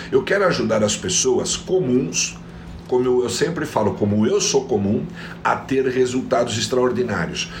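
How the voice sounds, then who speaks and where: A man speaks at a moderate pace and a medium pitch, with audible room echo and noticeable background noise. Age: 50s. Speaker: productivity coach. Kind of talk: motivational live stream talk. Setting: online live stream. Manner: animated.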